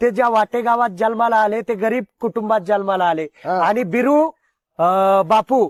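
A man's high-pitched voice with ordinary pitch variation and very even loudness, on a very clean recording with a silent background and a dry, close sound with no echo. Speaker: interviewer at pilgrimage. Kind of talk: interview. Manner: animated.

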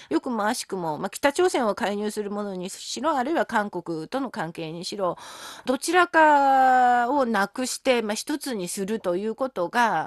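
At a moderate pace, a woman's fairly high voice swings very widely in pitch, with a dry, close sound and no echo. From South Korea. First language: Korean (speaking Japanese). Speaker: linguistics professor. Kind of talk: interview.

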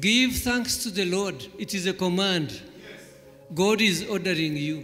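Faint music plays in the background. A man speaks at a fairly slow pace. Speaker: church elder preaching. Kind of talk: sermon. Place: hall. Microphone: handheld.

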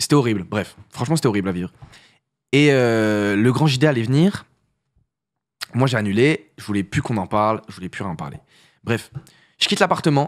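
A man's medium-pitched voice at a fairly quick pace, lively intonation and long, frequent pauses over a quiet background. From northern France, Paris region (Essonne) for teens; northern France. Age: 20s. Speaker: content creator and musician; content creator. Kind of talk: casual interview chat; interview answer. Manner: hesitant, many fillers. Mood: relaxed, animated, laughs at times. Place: studio. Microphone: studio mic.

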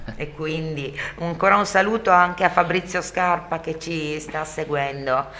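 A woman talks fairly slowly, her intonation fairly even, as noticeable background noise carries on. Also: fairly low pitch for a woman. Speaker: radio host. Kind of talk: radio talk show.

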